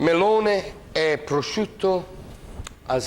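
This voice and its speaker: A man speaks with an Italian accent. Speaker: cooking show host. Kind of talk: cooking tutorial. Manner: animated; hesitant with many fillers.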